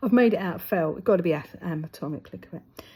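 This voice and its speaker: Speaking with a London accent, a woman has a medium pitch, a dark, mellow tone and some vocal fry. Her pace is fairly quick and her intonation lively. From London, England. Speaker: craft vlogger. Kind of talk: casual chat while stitching. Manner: chatty, animated.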